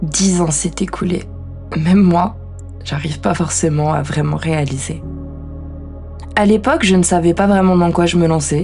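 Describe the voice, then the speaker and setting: A woman's fairly low voice with fairly even intonation, a fairly slow pace and long, frequent pauses, over music in the background. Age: 20s. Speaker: podcaster. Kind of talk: introspective personal monologue.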